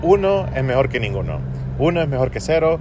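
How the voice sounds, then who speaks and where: A fairly quick pace marks this man's speech, with noticeable background noise around it. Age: 30s. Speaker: podcaster. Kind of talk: solo monologue. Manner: halting.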